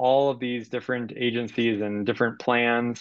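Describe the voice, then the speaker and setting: The background stays quiet as a man talks. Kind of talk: presentation. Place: home room.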